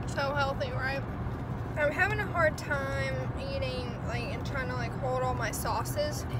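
A woman at a fairly slow pace over loud background noise. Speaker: vlogger. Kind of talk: casual vlog talk to camera. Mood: playful, chatty. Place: car. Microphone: phone near.

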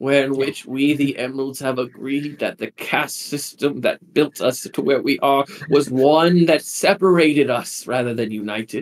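Putting on a theatrical character voice with a fairly high pitch, a man speaks with hardly any pauses. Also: moderate pace. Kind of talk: sermon, grand proclamation. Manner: fervent, theatrical.

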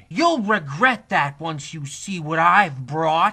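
With lively intonation and a fairly slow pace, a man speaks in a high-pitched, cartoonish character voice. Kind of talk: comic overacting. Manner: theatrical, gloating, aggrieved.

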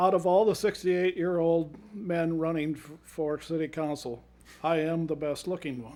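A man with an Upper Midwest accent talks at a high pitch and a moderate pace. His intonation is fairly even, but his loudness swings widely. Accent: Upper Midwest American. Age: 60s. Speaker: city council candidate. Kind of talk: candidate forum closing statement.

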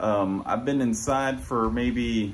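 A man speaks at a very slow pace over light background noise. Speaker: fitness vlogger. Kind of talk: casual vlog chat. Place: home room. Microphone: phone near.

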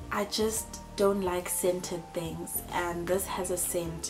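Over clear music in the background, a woman speaks at a very slow pace with a fairly low pitch. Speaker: vlogger. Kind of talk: casual vlog chat. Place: home room. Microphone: camera far.

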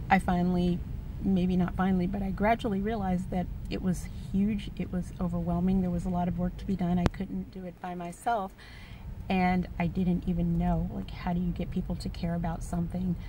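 A woman talking at a fairly quick pace, dry with no echo, over noticeable background noise. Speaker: vlogger. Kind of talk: personal vlog monologue. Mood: earnest, reflective. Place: car. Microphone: phone near.

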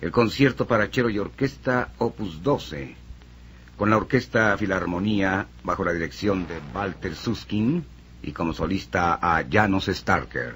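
A man with a very deep, low voice swings his pitch very widely against light background noise. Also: fairly slow pace. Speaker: radio announcer. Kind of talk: radio announcer continuity, classical music program. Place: studio. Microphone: old recording.

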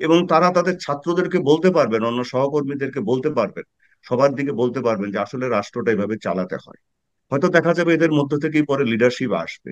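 Over a quiet background, a man with a fairly high pitch speaks with lively intonation and big swings in loudness in a dry sound with no echo. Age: 50s. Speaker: political commentator, former military officer; political commentator. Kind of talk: panel discussion. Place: home room. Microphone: webcam.

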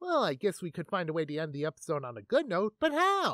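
The speaker puts on a character voice at a middle pitch and talks at a very fast pace. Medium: comedy sketch. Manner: upbeat, breezy.

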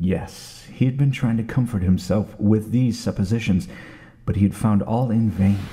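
Over noticeable background noise, a man with a fairly low pitch talks at a moderate pace, with ordinary pitch variation and very even loudness. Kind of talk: old time radio dramatic reading of a horror story.

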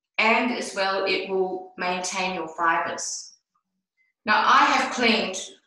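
A woman speaks at a fairly slow pace over a quiet background, with audible room echo. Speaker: product demonstrator. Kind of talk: tutorial. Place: bathroom. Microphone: video call.

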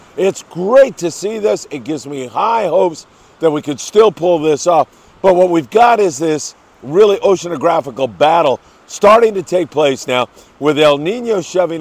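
A man at a moderate pace, dry sound with no echo. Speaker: fishing report host. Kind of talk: news briefing commentary. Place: beach. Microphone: lapel.

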